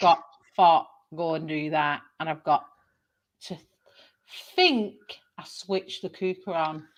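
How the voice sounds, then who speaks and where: A woman with a northern English accent and fairly low pitch, very slow and full of long, frequent pauses, her intonation fairly even but her loudness swinging widely. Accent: Greater Manchester northern English. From northern England.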